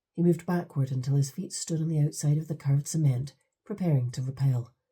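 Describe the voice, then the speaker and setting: A woman with a Scottish accent speaks very fast in a very deep, low pitch, her tone dark and mellow, somewhat breathy, with ordinary pitch variation. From England. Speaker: audiobook narrator. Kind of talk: audiobook narration.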